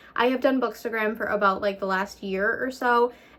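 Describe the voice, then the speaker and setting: Talking fairly quickly, a woman shows ordinary pitch variation, and background noise is noticeable. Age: 20s. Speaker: book vlogger. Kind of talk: casual vlog. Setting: at home on the couch.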